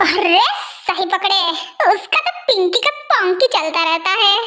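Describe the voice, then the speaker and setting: A woman performs in a put-on character voice. She goes at a fairly slow pace, her loudness very even. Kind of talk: comic overacting. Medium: fan dub. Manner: brash, wheedling, shameless.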